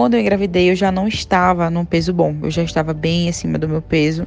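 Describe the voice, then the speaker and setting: A woman with a normal speaking voice talks at a fairly quick pace, with a fairly low pitch and fairly even intonation. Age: 30s. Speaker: systems analyst sharing health story. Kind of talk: testimony.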